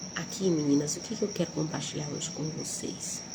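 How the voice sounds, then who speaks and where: A soft-spoken woman with audible room echo and noticeable background noise. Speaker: Bible devotional teacher. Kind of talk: devotional Bible talk. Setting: at a relative's house before dawn.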